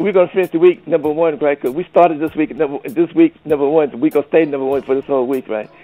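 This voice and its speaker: A man speaks at a very fast pace with a fairly high pitch. Music plays in the background, and his pitch varies ordinarily. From US Northeast, Brooklyn New York. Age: 70s. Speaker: veteran soul singer. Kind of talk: interview. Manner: halting, many repetitions.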